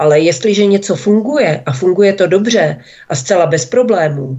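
A woman speaks at a fairly slow pace. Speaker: publisher and blogger. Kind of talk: political talk radio discussion. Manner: hesitant, frequent fillers.

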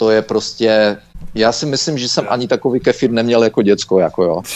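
Here a man has a plain, everyday voice. His pitch is fairly low, with ordinary variation. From Czechia. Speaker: Czech emigrant recounting travel to Belarus. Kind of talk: interview.

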